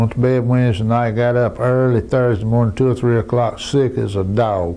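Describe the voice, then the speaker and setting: A man with a Southern US accent, medium pitch and a moderate pace, over noticeable background noise. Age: 70s. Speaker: cancer patient. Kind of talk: testimony. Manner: halting.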